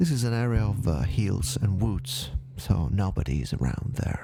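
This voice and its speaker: A man's fairly low voice with very wide pitch swings, over music in the background. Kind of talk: paranormal case narration. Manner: soft-spoken, slow.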